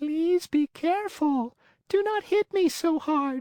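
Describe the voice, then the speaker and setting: This is a put-on character voice pitched high. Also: fairly slow pace. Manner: beseeching, pleading.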